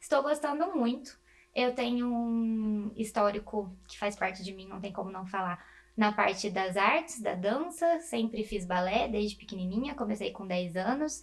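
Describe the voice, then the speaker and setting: Her pitch fairly high, a woman speaks at a fairly slow pace with lively intonation and big swings in loudness. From interior of São Paulo state, Brazil (Presidente Prudente). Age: 20s. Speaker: medical student. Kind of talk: interview.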